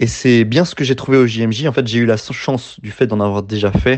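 Using an ordinary speaking voice, a man talks at a moderate pace with ordinary pitch variation. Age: 20s. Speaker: radio volunteer. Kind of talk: testimony.

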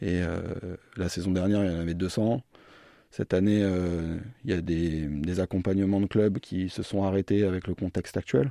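A man's very deep, low voice, dark and mellow in tone, with fairly even intonation at a moderate pace, dry and close with no echo. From France, Orléans region. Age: 30s. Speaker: sports performance manager, physiotherapist. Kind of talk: radio interview. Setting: radio studio. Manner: hesitant, repeats words.

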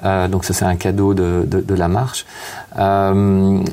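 The speech comes at a very slow pace, with noticeable background noise in the recording. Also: man. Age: 50s. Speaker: author and hospital chaplain. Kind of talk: interview. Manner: halting, many hesitations.

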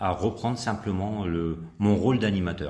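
With audible room echo, a man speaks at a fairly slow pace in a fairly low pitch with ordinary pitch variation. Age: 50s. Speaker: country dance instructor. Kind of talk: radio interview.

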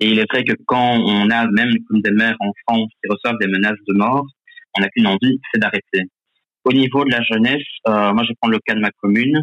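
At a fairly quick pace, a man with an unremarkable speaking voice holds very even loudness, medium pitch and fairly even intonation. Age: 20s. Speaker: youth politician. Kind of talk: radio debate.

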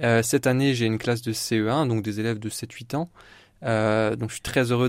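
A man's medium-pitched voice with fairly even intonation at a moderate pace, on a very clean recording with a silent background. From Champagne region, France (Épernay). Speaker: primary school teacher. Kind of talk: radio interview, faith testimony. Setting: radio studio. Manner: hesitant, many fillers.

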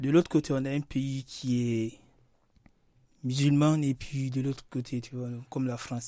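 A man with a medium-pitched, dark and mellow tone speaks at a fairly slow pace in a monotone, flat way. Long, frequent pauses break up his speech. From Guinea. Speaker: Guinean immigrant. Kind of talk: radio interview. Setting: radio studio.

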